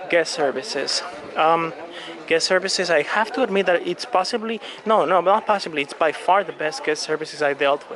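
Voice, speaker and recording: A man with a Latin American accent, high-pitched with ordinary pitch variation, crowd noise behind him. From Colombia. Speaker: cruise vlogger. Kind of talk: walking video tour. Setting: on a cruise ship. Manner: casual with many fillers.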